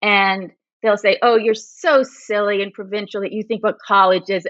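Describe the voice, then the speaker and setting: Talking at a fairly quick pace, a woman with a plain, everyday voice speaks at a medium pitch in an American accent. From California, Berkeley. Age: 60s. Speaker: magazine writer. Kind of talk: casual chat. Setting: podcast.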